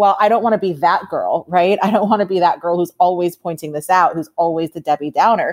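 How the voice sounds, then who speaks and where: A woman with an American accent speaks in a normal speaking voice at a medium pitch. Her pace is fairly quick. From New York. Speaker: sports writer and author. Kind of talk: casual chat.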